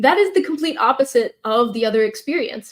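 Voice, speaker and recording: The pace here is fairly quick. An American accent comes through. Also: woman. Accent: Texan, comes out at times. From Texas. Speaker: public speaking coach. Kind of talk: live Q&A session. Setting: livestream.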